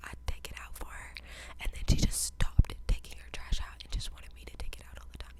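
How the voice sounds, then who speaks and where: Whispering at a very fast pace, the voice swings widely in loudness over noticeable background noise. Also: woman. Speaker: college student. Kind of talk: ASMR whisper ramble. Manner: whispered.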